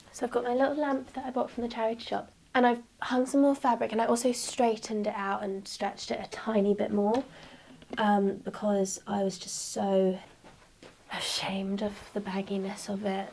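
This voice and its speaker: This is a woman with a southern English accent. Her pitch is fairly high. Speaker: upholsterer and small business owner. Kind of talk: casual vlog chat. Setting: home workroom. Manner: slow with long pauses.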